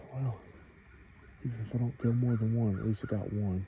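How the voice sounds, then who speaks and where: Delivery comes at a moderate pace. The voice carries a Southern US accent. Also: man. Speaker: outdoors hunting vlogger. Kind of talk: casual outdoor vlog narration. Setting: outdoors in the woods. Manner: loud.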